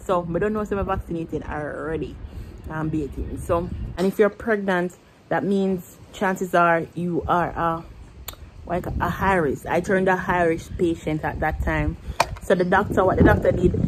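With music in the background, a woman speaks in a fairly low pitch at a moderate pace, keeping her intonation fairly even. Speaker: vlogger. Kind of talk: casual vlog chat, storytelling. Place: home room. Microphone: phone near.

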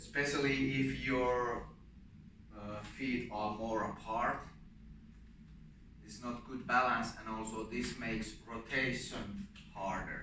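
A man speaks at a very slow pace with long, frequent pauses and fairly even intonation. Audible room echo and light background noise surround his voice. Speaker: martial arts instructor. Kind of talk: tutorial. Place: gym. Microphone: camera far.

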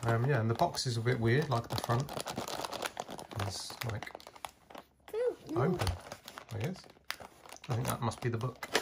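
The speaker moves at a moderate pace with long, frequent pauses. Loud background noise runs underneath. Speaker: toy collector reviewer. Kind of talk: casual unboxing chat. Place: home room. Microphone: phone near.

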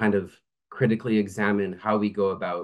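A fairly low-pitched man against a quiet background. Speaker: remote guest lecturer. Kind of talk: lecture. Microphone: video call.

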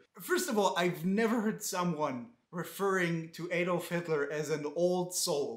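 Audible room echo surrounds a man speaking at a fairly slow pace. His pitch varies in an ordinary way. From Israel. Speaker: comedian. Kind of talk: comedic commentary reading comments. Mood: sarcastic, mocking. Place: home room.

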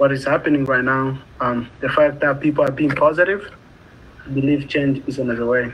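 Fairly high in pitch, a man speaks with a Congolese accent. His intonation stays fairly even. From Democratic Republic of the Congo. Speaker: community college student. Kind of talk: interview. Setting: video call. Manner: halting. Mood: earnest, reflective. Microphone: video call.

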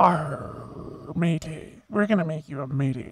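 Someone uses a put-on character voice at a middle pitch, speaking at a fairly slow pace. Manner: playful, joking.

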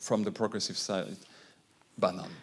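A man is speaking. His pace is moderate. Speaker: foundation director; conference panelist. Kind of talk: conference talk. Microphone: handheld.

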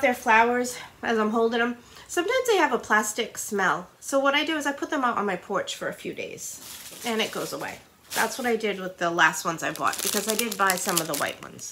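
Over light background noise, a woman with an American accent speaks fairly quickly at a high pitch, her pitch swinging very widely and her loudness shifting in big swings. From Rhode Island, US. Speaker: YouTuber / haul vlogger; YouTuber, haul vlogger. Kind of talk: casual try-on haul video. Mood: warm, enthusiastic. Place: home room. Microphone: camera far.

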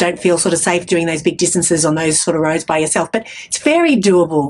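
With an Australian accent, the speaker moves at a fairly quick pace with hardly any pauses. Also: woman. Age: 50s. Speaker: podcast host. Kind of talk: casual interview. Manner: chatty. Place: studio. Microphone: studio mic.

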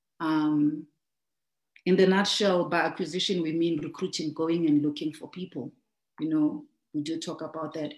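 Amid a quiet background and audible room echo, a woman talks at a moderate pace with ordinary pitch variation. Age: 30s. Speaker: network marketing trainer. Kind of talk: business training talk. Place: home room. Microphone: video call.

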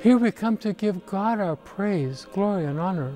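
A man speaking at a fairly slow pace with lively intonation, dry sound with no echo, and faint music in the background. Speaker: archbishop. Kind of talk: religious Christmas address to camera. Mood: calm, warm, solemn.

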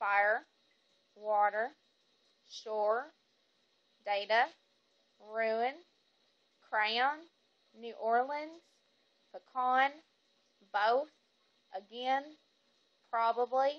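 Against a quiet background, a speaker with a Southern US accent talks at a very slow pace with long, frequent pauses. The pitch moves with ordinary variation. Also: woman, high pitch for a woman. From Fayetteville, Arkansas. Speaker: vlogger. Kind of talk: accent tag, casual talk to camera. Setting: phone recording. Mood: relaxed, casual. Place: home room. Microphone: phone near.

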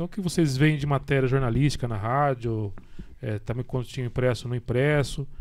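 This is a man talking. His pace is moderate. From Brazil, São Paulo state. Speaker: radio journalism director. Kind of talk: casual chat. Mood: relaxed, conversational. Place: studio. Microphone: studio mic.

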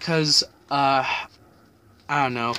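The intonation of this man's speech is fairly even. Noticeable background noise can be heard. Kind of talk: casual vlog chat. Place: home room. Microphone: webcam.

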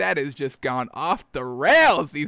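Music plays behind a man speaking in a raised, projected voice at a moderate pace. The sound is dry with no echo. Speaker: sports show host. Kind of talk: casual show commentary. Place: home room. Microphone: studio mic.

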